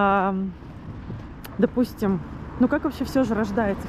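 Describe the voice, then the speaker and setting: Delivered at a fairly slow pace, the speech has noticeable background noise behind it. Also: woman. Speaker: vlogger. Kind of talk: video diary monologue. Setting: outdoors, walking to the sea. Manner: halting, with fillers and restarts.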